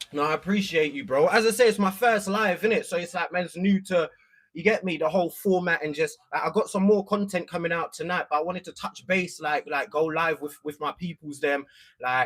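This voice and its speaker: A man with a London accent speaks at a fairly quick pace in a high voice. His pitch varies in an ordinary way. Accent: London multicultural English. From East London. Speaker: content creator. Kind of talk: casual livestream chat. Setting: livestream.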